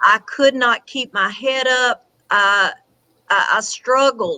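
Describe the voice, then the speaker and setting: With a Southern US accent, a woman speaks at a very slow pace and high pitch with lively intonation, the sound dry and close with no echo. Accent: Southern US twang. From Tennessee. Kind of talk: interview answer.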